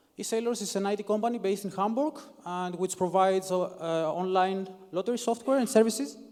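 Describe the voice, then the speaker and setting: Speech in a non-native accent comes at a very fast pace with ordinary pitch variation. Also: man, high pitch for a man. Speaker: software developer, conference speaker. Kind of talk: conference talk. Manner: halting.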